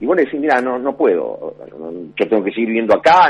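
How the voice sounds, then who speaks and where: Here a man talks at a very fast pace with vocal fry. His pitch is medium. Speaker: political analyst. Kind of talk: phone interview. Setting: phone call. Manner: halting, many repetitions.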